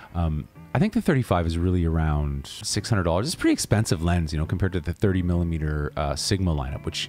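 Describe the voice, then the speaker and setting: Music plays in the background as a man talks. His pitch is very deep and low, with ordinary pitch variation. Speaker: vlogger / videographer. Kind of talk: casual vlog. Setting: home basement YouTube setup. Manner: soft-spoken, low; relaxed, with fillers.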